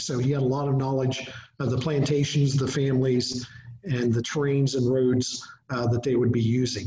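Over light background noise and audible room echo, a man with an American accent speaks at a moderate pace in a monotone, flat intonation. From southeastern Ohio, US. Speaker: museum director, history speaker; presenter. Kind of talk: lecture. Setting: video call webinar. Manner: hesitant, many fillers. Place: home room. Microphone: webcam.

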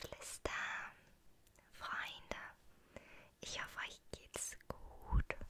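A woman is whispering. Her pace is very slow. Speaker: ASMR creator. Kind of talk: ASMR Q&A talk to camera. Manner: whispered. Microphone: studio mic.

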